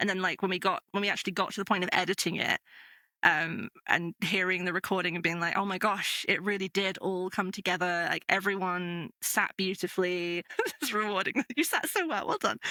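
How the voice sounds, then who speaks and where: A woman with a northern English accent speaks at a fairly quick pace in a medium pitch, her tone bright and sharp, her intonation fairly even, the sound dry and close with no echo. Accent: mild northern English. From northern England. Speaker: podcast game master. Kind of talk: casual interview chat.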